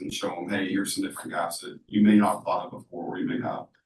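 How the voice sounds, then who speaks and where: The man's fairly low voice stays monotone, with flat intonation throughout. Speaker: AI company founder, workshop speaker. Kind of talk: workshop presentation. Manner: loud; casual, filler-heavy.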